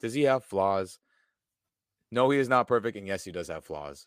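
A man with an American accent and a medium pitch speaks in an animated, bright, sharp tone, with a dry, close sound with no echo and a very clean recording with a silent background. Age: 20s. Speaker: football fan pundit. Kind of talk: casual chat.

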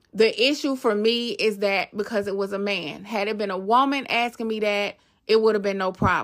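Fairly even intonation marks an unremarkable speaking voice. The pace is moderate. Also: woman, fairly high pitch for a woman. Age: 40s. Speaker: podcast host. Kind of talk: personal monologue.

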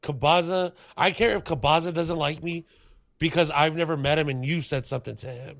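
Against a quiet background, a man with an ordinary speaking voice and a fairly high pitch uses ordinary pitch variation. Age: 30s. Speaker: stand-up comedian. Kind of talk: casual chat.

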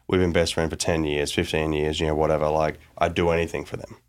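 A man with an Australian accent, very deep and low in pitch, at a very fast pace with fairly even intonation, on a very clean recording with a silent background. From Australia, small town. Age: 30s. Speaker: tech founder and investor. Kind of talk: interview.

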